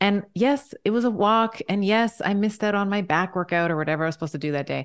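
Medium pitch and ordinary pitch variation from a woman, an ordinary speaking voice. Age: 40s. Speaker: doctor and women's health expert. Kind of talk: interview.

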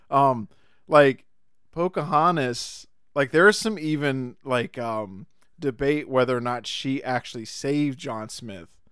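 An ordinary speaking voice with lively intonation and big swings in loudness moves at a fairly slow pace in a very clean recording with a silent background. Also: man, medium pitch for a man. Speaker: podcast host. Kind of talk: casual chat. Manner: jokey, laughs often.

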